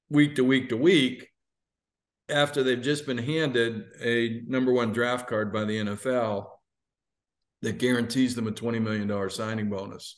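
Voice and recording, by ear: Using a plain, everyday voice, a man talks at a moderate pace in a medium pitch with fairly even intonation.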